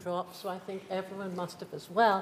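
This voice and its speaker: A woman of medium pitch against noticeable background noise. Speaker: lecture series host. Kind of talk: introducing a lecture. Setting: lecture theatre.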